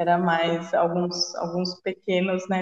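Dry and close with no echo, a woman's medium-pitched voice comes through in a monotone, flat intonation. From Jundiaí, São Paulo state, Brazil. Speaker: sports psychologist. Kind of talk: casual chat. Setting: video call.

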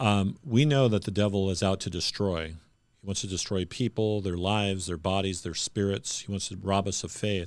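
An unremarkable speaking voice: a man with fairly low pitch talks at a moderate pace with fairly even intonation, recorded very cleanly over a silent background. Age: 50s. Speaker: pastor and podcast host. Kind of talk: interview conversation.

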